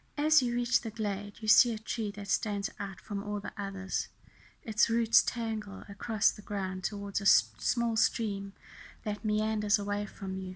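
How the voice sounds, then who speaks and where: On a very clean recording with a silent background, a woman talks fairly slowly at a medium pitch, somewhat breathy and in a monotone, flat intonation. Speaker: tarot reader. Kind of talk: guided meditation reading.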